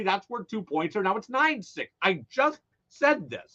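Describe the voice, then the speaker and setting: A man's high voice at a moderate pace, full of very wide pitch swings. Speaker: radio sports talk host. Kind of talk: casual radio monologue. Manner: loud; animated.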